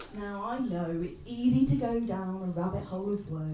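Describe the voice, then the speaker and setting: A woman with ordinary pitch variation against noticeable background noise. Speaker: amateur stand-up comedian. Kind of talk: stand-up comedy set.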